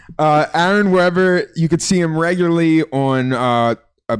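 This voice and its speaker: A man talks with a Philadelphia accent and ordinary pitch variation. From US East Coast, Philadelphia. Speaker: comedian and podcast host. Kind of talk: casual chat.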